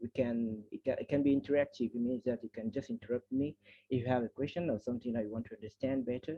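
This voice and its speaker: A man speaks with a French accent. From Cameroon. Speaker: seminar facilitator. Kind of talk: online presentation. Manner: halting, with many restarts.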